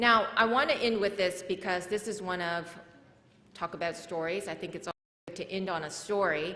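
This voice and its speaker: Audible room echo surrounds a woman of medium pitch speaking in a Korean accent. She keeps a moderate pace with ordinary pitch variation. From South Korea, moved to US at age eight. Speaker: nonprofit founder and speaker. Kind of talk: conference talk.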